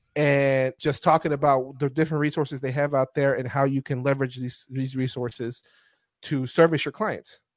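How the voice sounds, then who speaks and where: A man with a plain, everyday voice talks at a moderate pace, pitched fairly high and keeping his intonation fairly even. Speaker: podcast host. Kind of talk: casual chat. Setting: video call.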